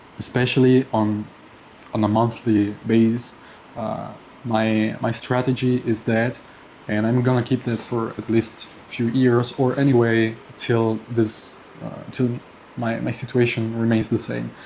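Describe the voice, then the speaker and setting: Over noticeable background noise, a man talks at a fairly slow pace and medium pitch in a monotone, flat intonation. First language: not English. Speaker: personal finance vlogger. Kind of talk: casual monthly finance update vlog. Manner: halting, many fillers and repetitions.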